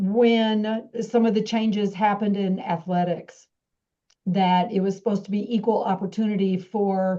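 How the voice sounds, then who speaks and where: A woman with an American accent speaks at a medium pitch and a moderate pace, her tone dark and mellow. Her intonation stays monotone and flat. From Texas. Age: 60s. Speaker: business school dean. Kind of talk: speech to an audience. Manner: halting.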